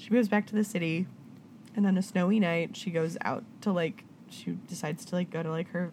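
Her voice is somewhat breathy and medium in pitch. The woman speaks at a fairly quick pace. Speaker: podcast host. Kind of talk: casual chat. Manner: animated, does many voices and accents.

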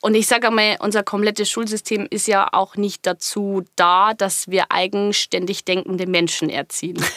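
A woman with a slight Bavarian accent speaks at a medium pitch in a bright, sharp tone, her intonation fairly even. She keeps a moderate pace with hardly any pauses, in a dry, close sound with no echo. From Bavarian Forest, Bavaria. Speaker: business coach. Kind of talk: interview. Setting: studio.

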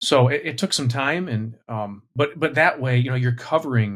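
This is a man talking. His voice sounds somewhat breathy. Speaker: pastor. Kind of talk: casual panel discussion.

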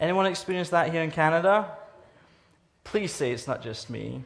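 Somewhat breathy, a man with a Scottish accent speaks with lively intonation. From Scotland. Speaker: guest preacher from anti-trafficking charity. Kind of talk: sermon. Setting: church service with congregation.

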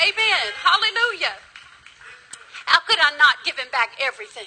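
Raised and projected, a woman's animated voice with an American accent swings very widely in pitch at a moderate pace. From US South. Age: 50s. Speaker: preacher. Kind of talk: sermon. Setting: church.

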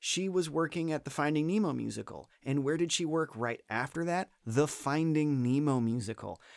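Heard in a very clean recording with a silent background, a man with an unremarkable speaking voice, fairly high pitch and an American accent talks at a moderate pace with lively intonation and hardly any pauses. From Florida. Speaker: theme park performer and comedian. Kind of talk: casual chat. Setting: studio, same room as host.

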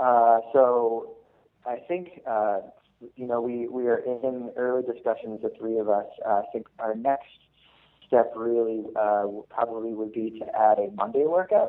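Speaking at a fairly slow pace in an American accent, a man has an unremarkable speaking voice of medium pitch with ordinary pitch variation. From Massachusetts. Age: 20s. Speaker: medical student, fitness group co-founder. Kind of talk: casual interview.

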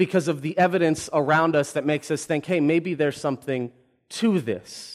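This is a man with a normal speaking voice and a fairly high pitch. The recording is very clean, with a silent background. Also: ordinary pitch variation, moderate pace. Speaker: pastor. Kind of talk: sermon. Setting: church.

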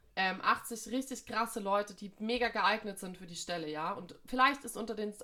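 This woman's voice has a bright, sharp tone. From Munich, Bavaria. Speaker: podcast co-host, jazz saxophonist. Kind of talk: casual chat.

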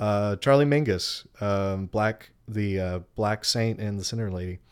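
A man with an American accent and an ordinary speaking voice talks at a fairly slow pace. His pitch is fairly low and his intonation fairly even. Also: very clean recording, silent background. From Texas. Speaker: musician and podcaster. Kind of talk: casual chat.

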